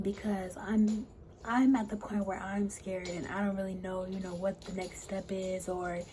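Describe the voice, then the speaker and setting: A woman's medium-pitched, monotone, flat delivery at a moderate pace, with audible room echo and noticeable background noise. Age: 20s. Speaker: vlogger sharing cancer journey. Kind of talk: personal vlog.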